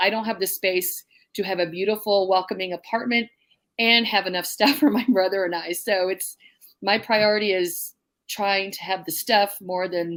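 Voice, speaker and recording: With a plain, everyday voice, a woman talks at a moderate pace in a medium pitch, with ordinary pitch variation, on a very clean recording with a silent background. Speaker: prepping YouTuber in an apartment. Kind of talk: panel discussion on livestream.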